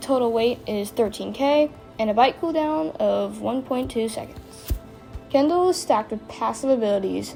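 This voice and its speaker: Backed by music, a woman speaks at a moderate pace with a fairly high pitch and ordinary pitch variation. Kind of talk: game comparison voice-over.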